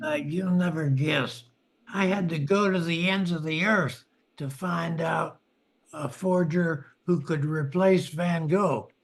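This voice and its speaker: Putting on a character voice, a man pitches his speech high and takes it at a fairly slow tempo. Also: fairly even intonation. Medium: audio drama.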